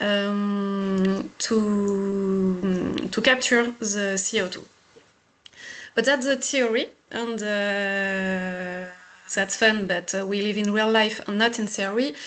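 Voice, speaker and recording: A woman at medium pitch with a French accent, fairly even intonation, and a very slow pace. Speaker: engineer presenting a pilot project. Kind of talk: technical webinar presentation.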